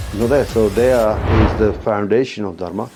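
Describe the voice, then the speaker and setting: With music behind him, a man talks at a medium pitch. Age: 60s. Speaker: martial arts master. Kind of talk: interview.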